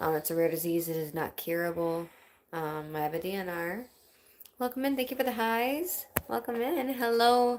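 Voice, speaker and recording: A woman with an American accent and an unremarkable speaking voice, medium in pitch with ordinary variation, at a fairly quick pace. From Wisconsin, US Midwest. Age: 30s. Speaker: livestreamer with chronic illness, singer-songwriter. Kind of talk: casual livestream chat. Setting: home livestream.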